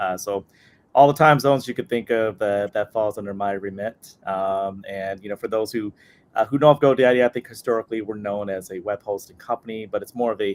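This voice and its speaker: A man with a plain, everyday voice and an American accent talks at a fairly quick pace with fairly low pitch. His intonation is fairly even, and the sound is dry and close with no echo. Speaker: employer branding lead. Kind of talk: panel webinar discussion.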